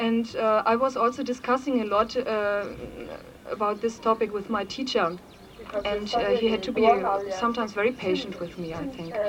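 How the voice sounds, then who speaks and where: A fairly high-pitched woman's voice amid noticeable background noise. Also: fairly even intonation, moderate pace. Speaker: Buddhist nun speaking at a conference. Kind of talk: conference talk. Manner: halting, many fillers.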